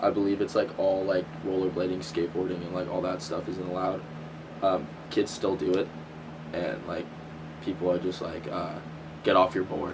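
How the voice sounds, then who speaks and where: A man with a very deep, low pitch speaks in a monotone, flat way at a moderate pace, with long, frequent pauses. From Southern California. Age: young. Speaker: college student. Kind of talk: interview. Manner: halting.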